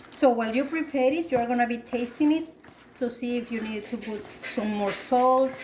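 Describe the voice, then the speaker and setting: A woman with a Spanish accent speaks at a moderate pace in a high voice with ordinary pitch variation, with noticeable background noise and audible room echo around her. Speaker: cooking youtuber. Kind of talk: cooking tutorial. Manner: casual, with frequent fillers.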